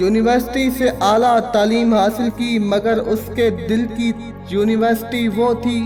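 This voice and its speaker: A man's high-pitched, monotone, flat delivery over music in the background. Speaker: voice-over narrator. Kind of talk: documentary narration. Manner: dramatic, impassioned.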